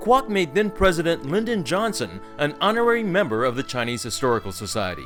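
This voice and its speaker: Music plays behind a man talking at a very fast pace. His pitch swings very widely. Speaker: narrator. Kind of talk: documentary narration.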